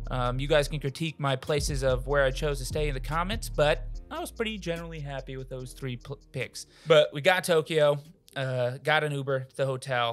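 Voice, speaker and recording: Over faint background music, a man talks at a fairly quick pace with fairly even intonation. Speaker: channel host. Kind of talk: casual podcast chat, travel story. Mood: jokey, laughing. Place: home room. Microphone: studio mic.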